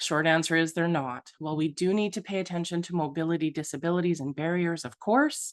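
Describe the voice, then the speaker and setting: Talking at a fairly quick pace with hardly any pauses, a woman uses a fairly low pitch and ordinary pitch variation against a quiet background. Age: 40s. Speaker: accessibility consultant. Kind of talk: presentation. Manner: fast; animated.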